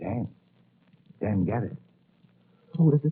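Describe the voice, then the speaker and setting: A man speaks at a fairly slow pace with a medium-pitched voice. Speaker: doctor (radio drama character). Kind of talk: 1940s radio drama acting. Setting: old radio broadcast audio with static and crackle.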